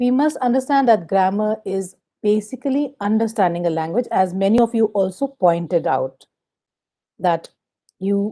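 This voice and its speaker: Her medium pitch and dark, mellow tone carry a woman's voice at a moderate pace. She speaks in an Indian accent with lively intonation. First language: Hindi. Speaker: teacher trainer. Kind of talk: lecture.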